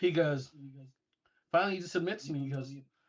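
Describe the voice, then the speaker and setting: Somewhat breathy, a man with an American accent speaks in a fairly high pitch. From England. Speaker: retired air force intelligence analyst. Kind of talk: storytelling in casual interview. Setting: studio. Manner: animated.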